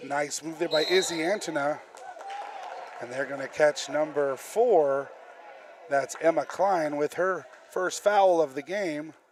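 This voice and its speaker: Speaking at a fairly slow pace with long, frequent pauses, a man with a fairly high pitch and ordinary pitch variation is heard over noticeable background noise. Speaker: high school sports announcer. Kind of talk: live commentary.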